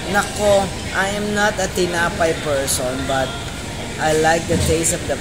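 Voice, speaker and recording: A woman's voice over loud background noise. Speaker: vlogger. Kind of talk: casual vlog chat. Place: cafe. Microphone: phone near.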